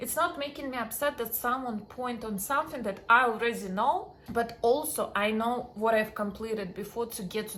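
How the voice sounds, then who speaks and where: A woman speaks with a strong Russian accent. Her pace is moderate and her pitch variation ordinary. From Russian-speaking background. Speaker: dating and confidence coach. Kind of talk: self-help talk to camera.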